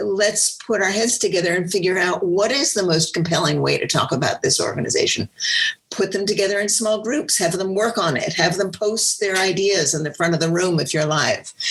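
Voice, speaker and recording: The tone is animated, with ordinary pitch variation and very even loudness at a moderate pace. Noticeable background noise runs underneath. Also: woman, medium pitch for a woman. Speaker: nonprofit fundraising consultant. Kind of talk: webinar discussion. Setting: live webinar.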